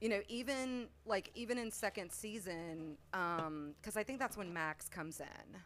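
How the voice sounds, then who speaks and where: With a normal speaking voice, a woman talks at a medium pitch and a fairly slow pace, using lively intonation and hardly any pauses. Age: 40s. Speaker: podcast co-host, guest. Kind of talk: casual chat.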